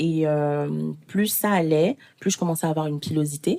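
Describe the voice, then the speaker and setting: With fairly even intonation, a woman talks in a dark, mellow tone. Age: 20s. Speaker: podcast guest sharing personal experience. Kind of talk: testimony.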